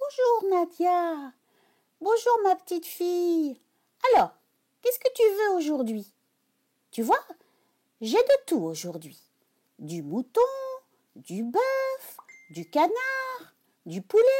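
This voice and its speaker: A woman's put-on character voice at an extremely high pitch, fairly slow, with long, frequent pauses. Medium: read story. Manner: honeyed when luring, snappish when thwarted.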